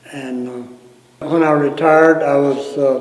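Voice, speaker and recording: An Appalachian accent at a fairly slow pace, with audible room echo and noticeable background noise. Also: man. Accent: Appalachian Southern US. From US South, North Carolina mountains (Ashe County). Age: 70s. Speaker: retired fire captain. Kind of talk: oral history interview. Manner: halting, many fillers.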